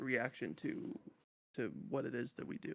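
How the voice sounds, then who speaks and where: Soft-spoken, a man talks at a fairly high pitch with fairly even intonation and a bright, sharp tone. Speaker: streamer and youtuber. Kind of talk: casual chat. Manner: calm.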